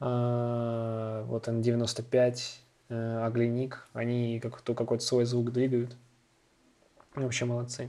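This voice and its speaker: A man's medium-pitched voice, dark and mellow, flat and monotone, very slow, with long, frequent pauses. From Moscow, Russia. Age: 20s. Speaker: electronic music producer. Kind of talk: casual interview.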